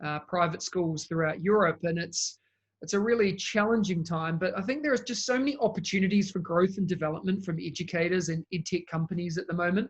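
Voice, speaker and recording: At a fairly quick pace, a man with a New Zealand accent speaks in a high pitch. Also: ordinary pitch variation. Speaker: education technology consultant. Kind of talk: interview.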